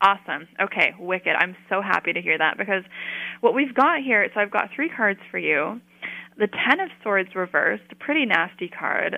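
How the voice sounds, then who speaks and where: Using a normal speaking voice, a woman talks at a medium pitch and moderate pace with lively intonation. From Colorado, US. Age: 30s. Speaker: witch, artist and PhD candidate. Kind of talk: interview; tarot reading.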